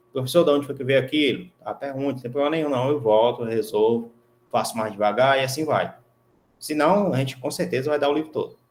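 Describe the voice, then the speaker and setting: With ordinary pitch variation, a man races through his words at a very fast pace. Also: medium pitch for a man. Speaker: university professor. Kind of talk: lecture. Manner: casual, conversational.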